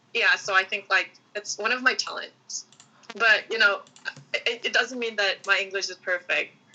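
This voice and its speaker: Noticeable background noise accompanies a woman with a fairly high pitch. She talks at a moderate pace with fairly even intonation. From South Korea, Seoul Gangnam Daechi area. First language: Korean. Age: 20s. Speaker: student. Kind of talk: podcast interview. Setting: video call. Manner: halting.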